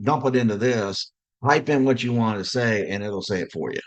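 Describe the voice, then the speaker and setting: This man speaks at a moderate pace and a medium pitch, with ordinary pitch variation. The background is quiet. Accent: Southern US. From US South. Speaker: director of simulation, healthcare education. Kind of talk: podcast interview.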